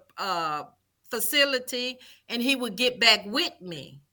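Speaking very slowly with a Southern US accent, a woman uses a high, bright, sharp voice and lively intonation. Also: very clean recording, silent background. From Mississippi, Vicksburg. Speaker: former prison guard. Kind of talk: interview.

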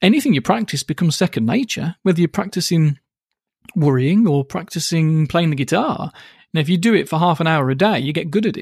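Speaking with a British accent, a man has a high pitch and lively intonation. He talks at a fairly quick pace in a dry, close sound with no echo. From UK. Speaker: hypnotherapist and author. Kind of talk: casual interview chat. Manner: fast, bouncy, animated; fast talker.

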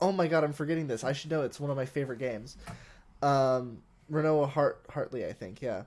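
A man speaks at a fairly quick pace in a plain, everyday voice with ordinary pitch variation. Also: fairly high pitch for a man. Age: 20s. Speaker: podcast co-host and filmmaker. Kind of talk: casual chat.

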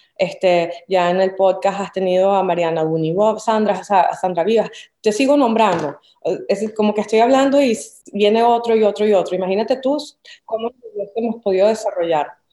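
Moderate pace, ordinary pitch variation and a Caracas accent. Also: woman, medium pitch for a woman. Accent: Venezuelan Spanish (Caracas). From Venezuela, Caracas. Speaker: visual artist. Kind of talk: interview conversation.

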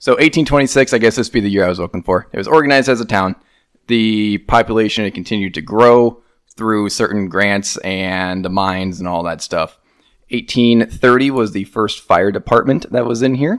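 On a very clean recording with a silent background, a man with a plain, everyday voice talks at a moderate pace with ordinary pitch variation. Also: medium pitch for a man. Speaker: podcast co-host. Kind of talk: casual chat.

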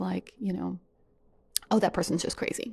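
This woman's voice sits at medium pitch with a dark, mellow tone. Vocal fry runs through it. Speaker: podcaster sharing personal experience. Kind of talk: personal monologue.

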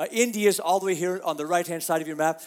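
A man with an American accent speaks in a high voice over noticeable background noise. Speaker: pastor. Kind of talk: sermon. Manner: halting.

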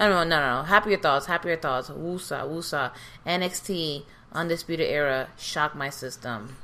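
Loud and in a New York accent, a woman speaks with a very deep, low pitch and a bright, sharp tone on a very clean recording with a silent background. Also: ordinary pitch variation, moderate pace. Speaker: podcast co-host. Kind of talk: casual chat. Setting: home recording at kitchen table.

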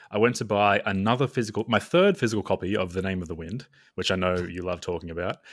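A fast-talking man with an Australian accent, his voice fairly low with ordinary pitch variation, on a very clean recording with a silent background. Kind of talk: casual chat. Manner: jokey.

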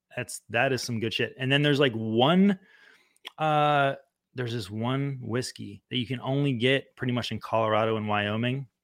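A man with a plain, everyday voice speaks at medium pitch with ordinary pitch variation. The pace is moderate, and the recording is very clean with a silent background. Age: 30s. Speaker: activist and musician. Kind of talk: casual chat.

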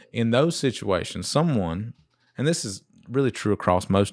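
In a plain, everyday voice, a man speaks at a fairly slow pace and fairly low pitch, with a dry, close sound with no echo on a very clean recording with a silent background. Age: 30s. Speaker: small business owner. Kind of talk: casual chat.

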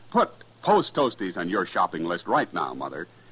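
A man speaks with a fairly bright tone, a slightly husky edge and very wide swings in pitch.

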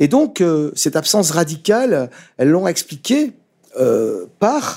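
A man speaks in a dark, mellow tone. His pitch swings very widely. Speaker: author and essayist. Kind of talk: intellectual interview. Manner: halting, many repetitions and fillers.

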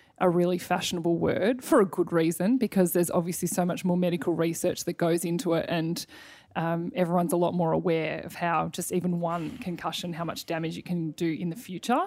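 A woman with an Australian accent talks at a fairly quick pace in a fairly low voice, on a very clean recording with a silent background. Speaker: podcast host and former netballer. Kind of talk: casual interview.

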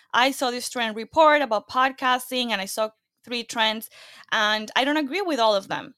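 Someone with a Latin American accent speaks at a moderate pace in a bright, sharp tone with ordinary pitch variation. The recording is very clean with a silent background and a dry, close sound with no echo. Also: woman, high pitch for a woman. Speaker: podcaster and entrepreneur. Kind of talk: interview conversation.

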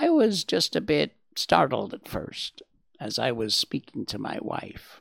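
Using a raspy, put-on character voice, the speaker talks at a fairly slow pace. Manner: slightly indignant, polite.

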